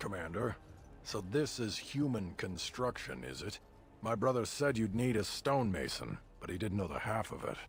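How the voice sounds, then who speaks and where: Over clear background noise, a man does a gruff, put-on character voice, fairly low in pitch, at a moderate pace. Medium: video game. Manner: blunt, gruff, disdainful.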